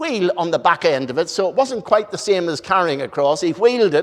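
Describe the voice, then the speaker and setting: A man with a Northern Irish accent and very wide pitch swings. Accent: Northern Irish, noticeable. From Northern Ireland, Belfast. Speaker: preacher. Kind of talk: sermon.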